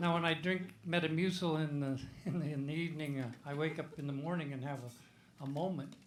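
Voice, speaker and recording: With a Midwestern US accent and fairly high pitch, a man talks at a fairly quick pace with hardly any pauses and fairly even intonation, in audible room echo. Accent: US Midwest. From Iowa. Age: 80s+. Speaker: comedian. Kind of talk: stand-up.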